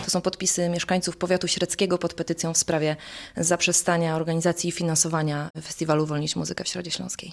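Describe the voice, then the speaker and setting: Talking at a very fast pace, a woman keeps a fairly low pitch and a monotone, flat intonation. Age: 30s. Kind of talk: interview.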